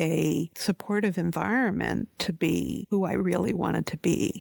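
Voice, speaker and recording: A woman with a Canadian accent speaks at a fairly slow pace. The recording is very clean, with a silent background and a dry, close sound with no echo. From Canada (Ontario, Montreal). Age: 60s. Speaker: housing researcher, professor. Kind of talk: interview.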